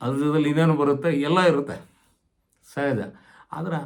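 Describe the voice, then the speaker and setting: The man's voice sits at a fairly high pitch. Audible room echo surrounds it. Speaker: retired government employee giving career advice. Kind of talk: informal advisory talk to camera.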